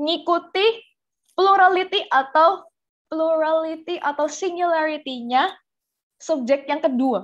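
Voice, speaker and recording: With an extremely high pitch and lively intonation, a woman talks at a fairly slow pace over a quiet background. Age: young. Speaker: tutor. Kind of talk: online class lesson. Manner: casual. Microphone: webcam.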